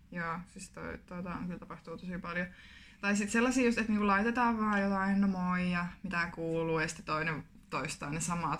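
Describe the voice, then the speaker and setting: She has a plain, everyday voice at medium pitch with ordinary pitch variation. The woman keeps a moderate pace while her loudness swings widely. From Finland, Kuopio (Savo). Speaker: podcast co-host, student teacher. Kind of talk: casual chat.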